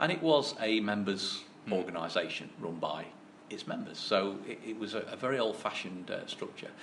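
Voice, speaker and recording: A man talks at a fairly quick pace in a fairly low voice, with audible room echo and noticeable background noise. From English mining town. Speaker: sports governing body chairman, former professional snooker player. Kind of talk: interview. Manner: halting, repeats words.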